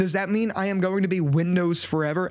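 The background is quiet. The speaker talks at a fairly quick pace. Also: man. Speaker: tech YouTuber. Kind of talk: casual vlog review. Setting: home desk setup. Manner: conversational, animated. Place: home room. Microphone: studio mic.

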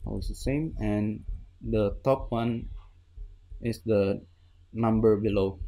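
A man's fairly low, dark, mellow voice at a very slow pace, with fairly even intonation and long, frequent pauses. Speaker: Minecraft redstone builder. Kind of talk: tutorial voice-over explaining a build. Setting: home recording with new microphone. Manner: hesitant, stuttering.

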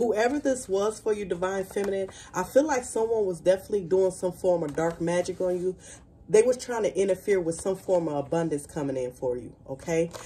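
A woman talks at a fairly quick pace. Light background noise sits behind her. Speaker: tarot card reader. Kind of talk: spiritual reading to viewers. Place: home room. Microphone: phone near.

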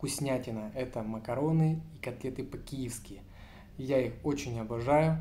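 The man's tone is dark and mellow, and somewhat breathy. Light background noise can be heard. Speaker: food vlogger. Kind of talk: casual vlog chat. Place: home room. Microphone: phone near.

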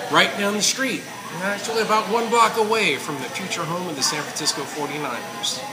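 A man talking at a moderate pace over clear background music. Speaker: food reviewer. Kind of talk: casual food review commentary. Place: cafe. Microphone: phone near.

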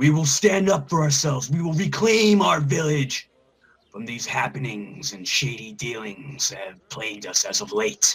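A man uses a put-on character voice at a fairly high pitch and a moderate pace. His pitch swings very widely and his loudness rises and falls sharply. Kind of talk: public proclamation. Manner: righteous, commanding.

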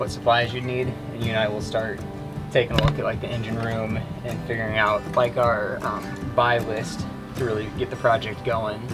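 Speech at a moderate pace over clear music in the background. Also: man. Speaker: boat owner vlogger. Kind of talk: casual planning chat. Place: open country. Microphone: camera far.

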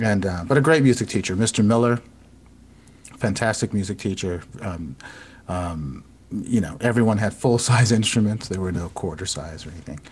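A man's somewhat breathy, fairly low-pitched voice with an American accent, lively intonation and a moderate pace. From US South, South Florida (Broward County). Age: 50s. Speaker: composer and violinist. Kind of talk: casual chat. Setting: video call.

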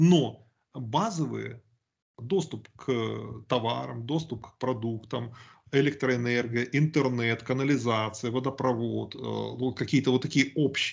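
This man's pitch sits in the middle range. He delivers his words very slowly. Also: fairly even intonation. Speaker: YouTube channel host. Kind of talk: casual discussion on politics. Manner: talkative, opinionated.

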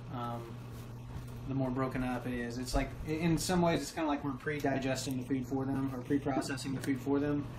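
A man's fairly quick, monotone and flat delivery amid noticeable background noise. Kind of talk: casual vlog chat. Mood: relaxed, chatty. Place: kitchen. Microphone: phone near.

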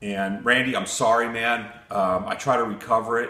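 There is audible room echo around the voice. A man is speaking. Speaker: hobby machinist channel host. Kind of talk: casual vlog chat. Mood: apologetic then warm. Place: workshop.

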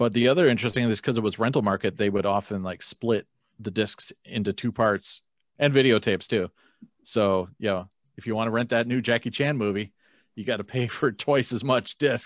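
A man speaks at a fairly quick pace with ordinary pitch variation. The background is quiet, and the sound is dry with no echo. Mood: amused, nostalgic. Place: home room. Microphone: video call.

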